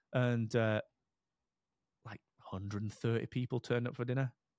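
A man speaks with an English accent in a dry, close sound with no echo. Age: 40s. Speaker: podcast platform founder. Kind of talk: casual interview chat.

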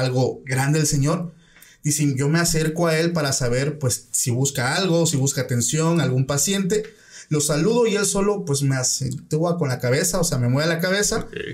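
The man has a fairly high pitch and a somewhat breathy voice, with ordinary pitch variation. His loudness stays very even, and he keeps a moderate pace. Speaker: podcast host. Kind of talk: casual chat, interview.

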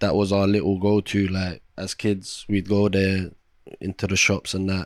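A man speaks with a London accent on a very clean recording with a silent background. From Iraq, raised in London. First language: Arabic. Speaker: podcast host, TV chef. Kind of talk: casual chat. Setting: home living room.

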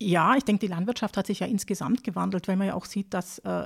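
This woman talks at a fairly quick pace with vocal fry and fairly even intonation. The recording is very clean and dry, close with no echo, against a silent background. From southern Germany, near Lake Constance (Baden-Württemberg). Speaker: agricultural advisor on pig farming. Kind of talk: expert interview. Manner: many hesitation fillers.

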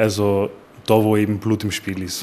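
This man speaks at a moderate pace with a fairly low pitch. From Upper Austria, Linz. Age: 20s. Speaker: crime scene cleaner. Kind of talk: interview.

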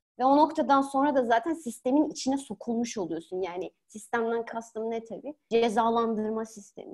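Big swings in loudness mark a woman's unremarkable speaking voice, at a moderate pace with ordinary pitch variation. She leaves hardly any pauses. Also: fairly high pitch for a woman. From Turkey. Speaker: political science academic. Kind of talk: podcast interview.

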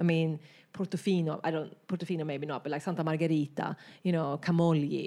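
A woman with a Swedish accent talks at a fairly quick pace in a very deep, low voice. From Sweden, rural countryside. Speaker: artist. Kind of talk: casual interview. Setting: artist's studio.

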